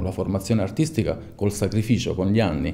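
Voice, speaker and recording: Dark and mellow in tone, a man speaks at a fairly low pitch and a moderate pace against a quiet background. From Salento, Apulia, southern Italy; Apulia, Italy. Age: 40s. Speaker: sculptor. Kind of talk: interview monologue. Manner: halting, with frequent fillers. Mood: calm, reflective. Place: studio.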